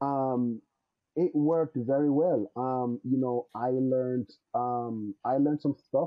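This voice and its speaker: A man speaks at a very slow pace with a slight Jamaican accent. His pitch is fairly high. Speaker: network engineer. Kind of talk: podcast interview. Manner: hesitant, many filler words.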